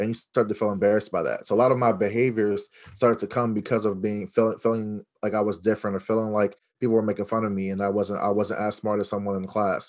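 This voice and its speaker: A man speaks at a very fast pace in a fairly low, flat monotone, on a very clean recording with a silent background. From Los Angeles, then Virginia. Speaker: educator, school leader. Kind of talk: interview conversation.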